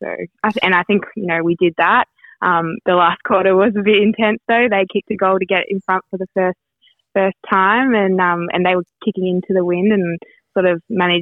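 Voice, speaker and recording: Over music in the background, a woman with a fairly low pitch talks at a fairly quick pace and with fairly even intonation. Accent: Australian. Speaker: women's footballer. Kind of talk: interview. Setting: phone call.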